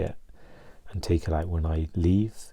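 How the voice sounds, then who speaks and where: Soft-spoken and somewhat breathy, a man talks at a moderate pace in a very deep, low pitch, his tone dark and mellow and his intonation fairly even. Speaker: mental health vlogger. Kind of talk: personal vlog. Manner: halting, many fillers and restarts.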